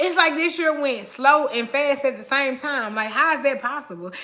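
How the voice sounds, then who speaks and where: A woman's raised, projected voice with ordinary pitch variation amid noticeable background noise. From Oakland, California. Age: 30s. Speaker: lifestyle vlogger. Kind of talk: live stream chat. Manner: casual, chatty.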